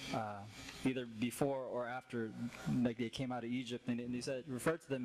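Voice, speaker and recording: The speaker has an unremarkable speaking voice, moving at a fairly quick pace with fairly even intonation. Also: man. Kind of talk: casual talk to open mic audience. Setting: live stage, open mic.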